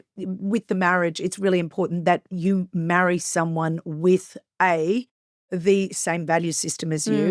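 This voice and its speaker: A woman speaks at a fairly slow pace in a fairly low voice. The sound is dry and close, with no echo. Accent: Australian. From Queensland, Australia. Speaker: businesswoman and reality TV personality. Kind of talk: podcast interview. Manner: loud; animated.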